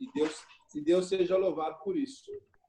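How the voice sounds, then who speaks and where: A man talks with lively intonation at a moderate pace as noticeable background noise carries on. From Brazil, São Paulo state (Jundiaí). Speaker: missionary pastor. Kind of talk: casual chat.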